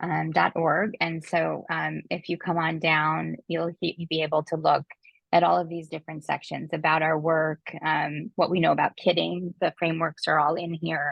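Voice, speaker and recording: In a monotone, flat intonation, a woman with a very deep, low pitch and vocal fry speaks at a moderate pace. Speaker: webinar presenter. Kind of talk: webinar screen-share walkthrough. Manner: hesitant, many fillers.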